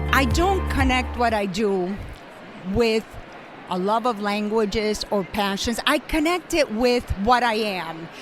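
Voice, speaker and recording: Music plays in the background as a woman with a Spanish accent speaks at a fairly slow pace, her fairly high voice full of lively intonation. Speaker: language educator. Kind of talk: interview.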